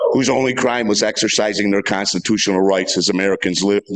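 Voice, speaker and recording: With fairly even intonation and a fairly low pitch, a man talks while noticeable background noise is heard. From Western New York (Cheektowaga, near Buffalo). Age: 60s. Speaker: resident public commenter. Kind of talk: public comment at town board meeting. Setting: town board meeting room. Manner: impassioned.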